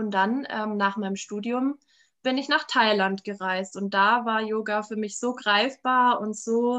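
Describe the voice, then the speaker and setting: A woman speaks at a fairly high pitch in a monotone, flat intonation. The background is quiet. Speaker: yoga studio owner. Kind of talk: casual interview.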